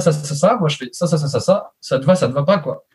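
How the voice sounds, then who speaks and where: Pitched high, a man's voice varies in an ordinary way. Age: 30s. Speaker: web services entrepreneur. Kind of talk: casual interview. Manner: hesitant, many fillers.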